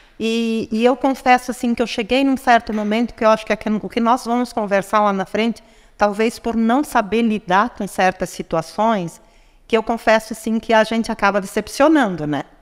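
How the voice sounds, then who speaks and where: A woman with an unremarkable speaking voice talks at a moderate pace. Her pitch sits fairly high. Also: ordinary pitch variation. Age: 60s. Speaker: businesswoman and psychology graduate. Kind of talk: podcast interview.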